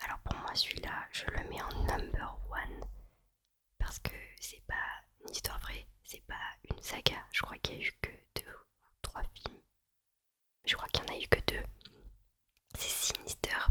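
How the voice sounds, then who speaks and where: A woman whispers at a fairly slow pace, with long, frequent pauses and big swings in loudness. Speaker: ASMR creator. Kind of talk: ASMR whispered film chat. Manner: whispered.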